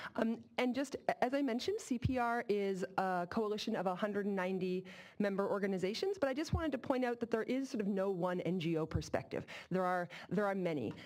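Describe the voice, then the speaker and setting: This woman talks very fast with lively intonation at a medium pitch. Her loudness stays very even throughout. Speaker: advocacy coalition co-director. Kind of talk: public workshop presentation. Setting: public workshop with interpreters.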